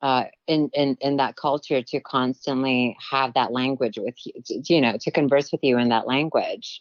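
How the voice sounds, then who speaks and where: A woman with a Filipino accent speaks at a moderate pace in a very deep, low voice, her intonation fairly even and her speech hardly broken by pauses. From Philippines and Guam. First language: Tagalog. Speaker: actress and producer. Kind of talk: interview conversation.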